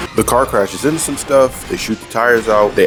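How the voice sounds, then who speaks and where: Music plays in the background as a man speaks. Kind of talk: casual episode recap commentary. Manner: comedic, conversational.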